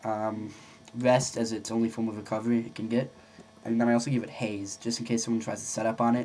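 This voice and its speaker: At a medium pitch, a man talks at a very fast pace. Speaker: gaming video creator. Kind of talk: tutorial. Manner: halting. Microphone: poor audio, no proper mic.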